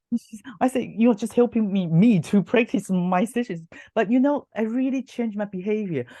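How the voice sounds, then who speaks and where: A woman talks at a fairly high pitch, somewhat breathy. Her pitch varies in an ordinary way. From Taiwan. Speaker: hypnotherapist and university lecturer. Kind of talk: interview. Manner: fast; animated.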